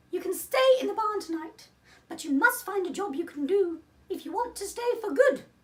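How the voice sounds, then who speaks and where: At a moderate pace, someone uses a put-on character voice pitched extremely high. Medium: read story. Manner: brisk, bossy.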